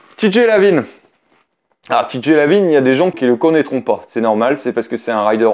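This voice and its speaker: Against a quiet background, a man talks at a moderate pace with lively intonation. He has an unremarkable speaking voice, fairly high in pitch. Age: 30s. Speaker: BMX rider and YouTuber; YouTuber. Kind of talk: casual talk to camera. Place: home room.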